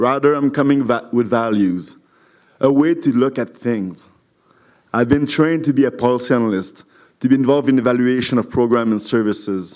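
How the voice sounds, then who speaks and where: With a French accent, a man speaks at a medium pitch and moderate pace, his pitch varying in an ordinary way. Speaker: municipal council candidate. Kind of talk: campaign speech at candidates forum.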